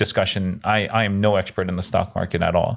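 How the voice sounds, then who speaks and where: A man with an American accent talks at a moderate pace in a fairly low pitch. He has an unremarkable speaking voice. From South America-born Korean American. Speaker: real estate investor. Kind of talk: casual chat.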